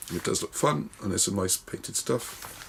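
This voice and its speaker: Speech in a British accent at a fairly quick pace, over noticeable background noise. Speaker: wargaming magazine reviewer. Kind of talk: casual video review. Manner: fast.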